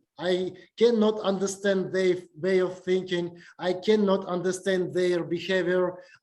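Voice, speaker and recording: The speaker goes at a fairly slow pace in a Russian accent. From Uzbekistan. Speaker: university lecturer. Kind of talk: lecture. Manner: halting, many fillers.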